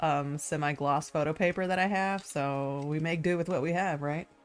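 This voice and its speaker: Over music in the background, a woman speaks at a moderate pace. Her pitch is very deep and low, and her intonation fairly even. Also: hardly any pauses. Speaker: artist live streamer. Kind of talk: live stream painting chat. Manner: loud; casual, rambling with fillers.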